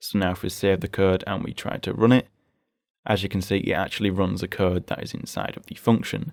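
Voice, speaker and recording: A man with a very deep, low pitch speaks at a fairly quick pace. His intonation is fairly even, but his loudness swings widely. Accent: British. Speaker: programming tutorial host. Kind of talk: screen-recorded coding tutorial. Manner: casual, explanatory.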